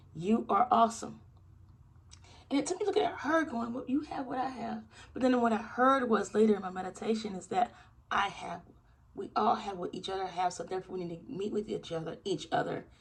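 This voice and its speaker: A woman with a fairly high pitch talks at a fairly quick pace in an animated tone, with very wide pitch swings and big swings in loudness. Noticeable background noise runs underneath. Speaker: channel host, former Jehovah's Witness. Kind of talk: motivational vlog talk. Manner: fast.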